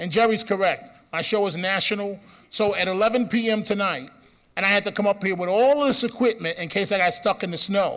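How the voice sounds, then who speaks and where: A man with a Bronx accent, high-pitched, bright and sharp in tone, ordinary pitch variation, fairly quick pace. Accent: Bronx New York. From New York City, the Bronx. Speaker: radio host. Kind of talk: conference speech. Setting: stage with audience.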